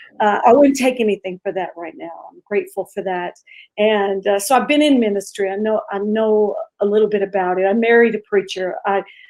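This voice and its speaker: Here is a normal speaking voice at a fairly quick pace, with ordinary pitch variation. Loudness swings widely. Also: woman, medium pitch for a woman. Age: 50s. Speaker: pastor. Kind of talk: interview testimony.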